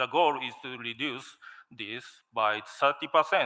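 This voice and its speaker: A man speaks at a medium pitch with a Japanese accent. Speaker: steel company manager. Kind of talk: conference presentation. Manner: halting, many fillers.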